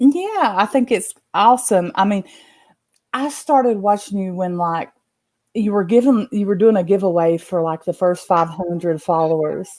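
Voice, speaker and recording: With a strong Southern accent, a woman talks at a moderate pace and medium pitch, her intonation lively, in a very clean recording with a silent background. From Appalachia, western North Carolina (born eastern Kentucky). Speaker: live stream guest. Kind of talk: casual chat.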